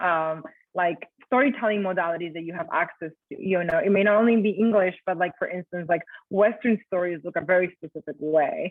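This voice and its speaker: A fairly quick voice in a Colombian accent, with big swings in loudness and ordinary pitch variation. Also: woman, medium pitch for a woman. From Colombia, Bogota. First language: Spanish. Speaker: writer and educator. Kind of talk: talk with Q&A. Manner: casual, many fillers.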